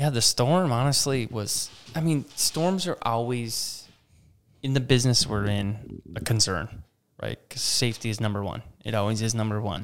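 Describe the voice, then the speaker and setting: A man's plain, everyday voice at a medium pitch, moderate in pace, with lively intonation. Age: 30s. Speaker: campground operations manager. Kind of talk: casual interview chat. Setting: studio.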